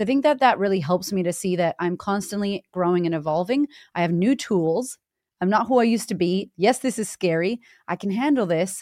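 In a Boston accent, a woman speaks at a fairly quick pace with an animated tone, a medium pitch and ordinary pitch variation. The sound is dry and close with no echo, and the recording is very clean with a silent background. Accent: Boston American. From Boston, Massachusetts, US. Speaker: confidence coach. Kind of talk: interview conversation.

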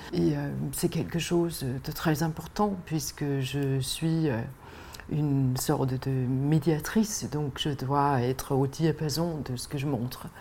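The speaker is a woman with a very deep, low pitch. She talks very slowly. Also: ordinary pitch variation. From Denmark. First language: Danish (speaking French). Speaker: art gallery owner. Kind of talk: casual interview. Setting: outdoors on a riverside barge.

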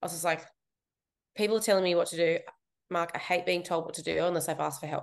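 A woman with an Australian accent talks at a very fast pace in a fairly low pitch, with vocal fry. Her flat, monotone delivery has long, frequent pauses over a quiet background. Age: 30s. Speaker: fitness competitor and coach. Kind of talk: interview.

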